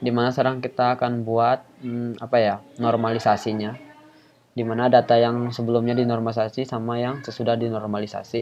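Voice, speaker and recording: Soft-spoken, a man talks at a moderate pace with fairly even intonation over noticeable background noise. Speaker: YouTuber and student teaching coding. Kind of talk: tutorial. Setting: home recording. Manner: casual. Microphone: quiet voice level.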